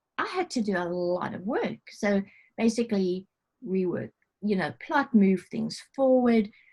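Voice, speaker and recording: Her tone dark and mellow, a woman speaks somewhat breathily at a fairly slow pace with ordinary pitch variation. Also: medium pitch for a woman. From South Africa. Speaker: novelist. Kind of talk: interview answer. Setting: video call.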